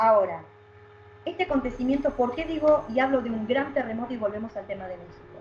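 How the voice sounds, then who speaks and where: Her pitch is high and her intonation lively, with big swings in loudness. The woman talks at a fairly quick pace. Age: 40s. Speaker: psychic. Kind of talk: interview.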